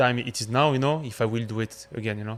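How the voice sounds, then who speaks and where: A fairly quick voice in a French accent, on a very clean recording with a silent background. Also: man. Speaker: chef. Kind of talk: casual chat.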